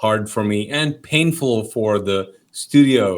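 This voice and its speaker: Speaking with a Pakistani accent, a man talks at a medium pitch with ordinary pitch variation. His pace is very slow. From Kuwait, Pakistani family. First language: Urdu. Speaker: pastor. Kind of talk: interview, personal testimony. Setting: podcast. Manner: animated, casual with fillers.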